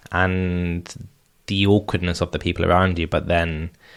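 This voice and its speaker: A man talks at a moderate pace in a very deep, low, monotone voice with flat intonation. The recording is very clean, with a silent background. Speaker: interviewer, person who stutters, works in finance in London. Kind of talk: interview question. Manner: supportive listening.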